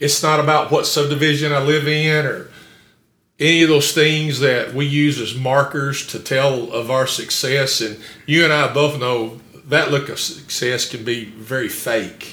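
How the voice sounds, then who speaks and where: A man's fairly high voice at a fairly slow pace, with fairly even intonation and audible room echo. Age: 60s. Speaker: pastor. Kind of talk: sermon. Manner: halting.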